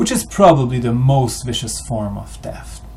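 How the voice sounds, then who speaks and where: A man speaks with a French-Canadian accent, and the room echo is audible. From Quebec, Canada. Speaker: history video maker. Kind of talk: monologue. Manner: halting.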